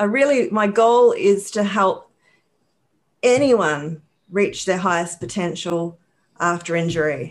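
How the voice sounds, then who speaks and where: A woman in a New Zealand accent, medium pitch, lively intonation, fairly slow pace with long, frequent pauses, quiet background. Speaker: rehabilitation counselor and author. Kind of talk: interview.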